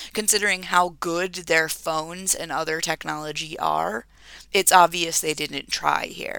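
On a very clean recording with a silent background, a woman with a fairly low pitch and vocal fry speaks fairly slowly, her tone bright and sharp and her intonation fairly even. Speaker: podcast co-host. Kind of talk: casual chat.

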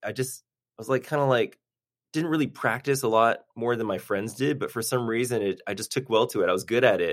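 The recording is very clean, with a silent background. An unremarkable speaking voice has ordinary pitch variation and a fairly quick pace. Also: man, medium pitch for a man. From Boston area, Massachusetts (Newton). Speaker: orthopedic surgeon, sports team physician. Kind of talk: interview, casual chat.

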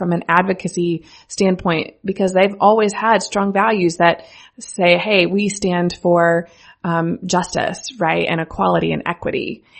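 Here a woman speaks at a fairly low pitch. Her intonation is monotone and flat, and her pace is fairly slow. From US Midwest, rural central Missouri. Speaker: brand strategist and agency founder. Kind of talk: casual interview chat. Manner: laughs often.

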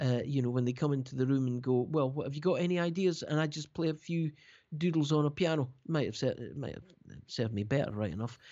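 A man with a Scottish accent talks at a very fast pace. His pitch is fairly high, with ordinary pitch variation. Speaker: keyboard player and producer. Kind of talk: interview. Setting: remote call. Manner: halting.

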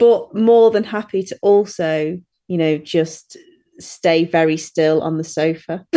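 A woman with an English Midlands accent speaks in a dark, mellow tone, fairly low in pitch, with ordinary pitch variation. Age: 30s. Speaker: dog walker and groomer. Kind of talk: casual chat. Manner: giggly.

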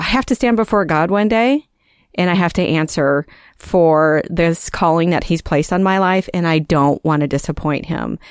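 In a very clean recording with a silent background and a dry, close sound with no echo, a woman speaks at a moderate pace in a fairly low pitch, with ordinary pitch variation and very even loudness. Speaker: children's ministry pastor. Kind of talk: casual interview.

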